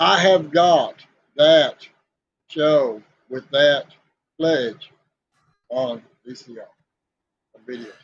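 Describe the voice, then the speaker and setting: In a Southern US accent, a man with a fairly high pitch and ordinary pitch variation talks at a very slow pace, with long, frequent pauses and big swings in loudness. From US South (Southeast Tennessee). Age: 60s. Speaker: podcast co-host. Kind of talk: casual chat.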